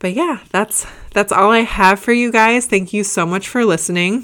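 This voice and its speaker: A fairly slow Midwestern American accent on a very clean recording with a silent background. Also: woman. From US Midwest, Indiana. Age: 30s. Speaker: fitness podcast host and bikini competitor. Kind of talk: casual Q&A monologue.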